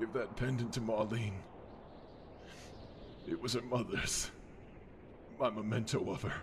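Over loud background noise, a man with a medium pitch talks at a moderate pace, leaving long, frequent pauses. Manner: bitter, hopeless, fading.

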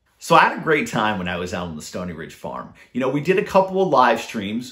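A man speaks fairly quickly in an upbeat, enthusiastic, bright and sharp tone, with vocal fry and very wide pitch swings. The background is quiet. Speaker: YouTube DIY creator. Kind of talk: casual vlog narration. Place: home room. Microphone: phone near.

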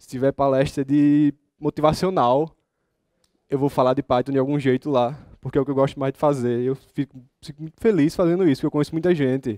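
A man with a strong northeastern Brazilian accent speaks at a fairly high pitch in a dark, mellow tone. The sound is dry with no echo, against a quiet background. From Brazilian Northeast. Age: 20s. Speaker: software developer and student; conference speaker. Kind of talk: conference talk. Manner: casual, informal. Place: hall.

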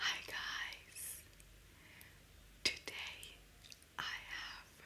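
A woman is whispering. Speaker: ASMR creator. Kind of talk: ASMR eating video. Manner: whispered.

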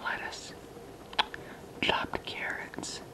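The speaker talks at a very slow pace. Loud background noise is present. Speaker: mukbang ASMR creator. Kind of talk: ASMR eating video talk. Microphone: phone near.

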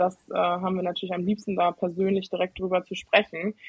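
The speaker is a woman whose voice sits at a medium pitch. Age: 20s. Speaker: IT consultant and student. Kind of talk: casual chat. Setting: video call.

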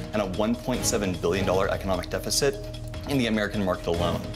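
Music plays clearly in the background. Over it, a man speaks very fast. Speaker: startup founder pitching to investors. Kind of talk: business pitch. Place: studio.

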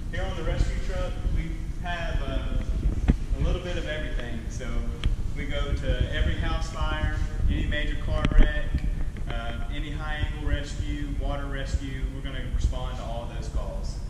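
A man speaks at a moderate pace. Loud background noise and audible room echo fill the recording. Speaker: firefighter tour guide. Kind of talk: tour explanation for children. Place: garage.

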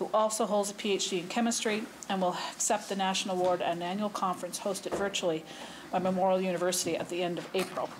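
A woman talks at a very fast pace in a monotone, flat intonation. Noticeable background noise runs underneath. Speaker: government minister. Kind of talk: formal parliamentary statement. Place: hall. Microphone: podium.

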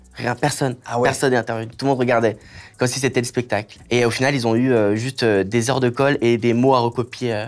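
Very fast and monotone, a man speaks with flat intonation at a medium pitch. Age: 20s. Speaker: content creator. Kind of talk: interview, personal story. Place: studio.

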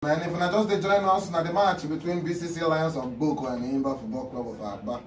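At a moderate pace, a man with a high pitch speaks amid audible room echo and light background noise. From Nigeria. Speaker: TV talk show host. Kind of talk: TV talk show hosting. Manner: playful, chatty. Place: studio.

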